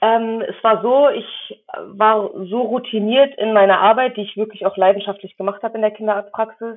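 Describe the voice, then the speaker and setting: With an unremarkable speaking voice, a woman talks at a moderate pace and a fairly high pitch, keeping fairly even intonation and hardly any pauses. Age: 20s. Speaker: physician assistant student and medical assistant. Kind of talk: interview.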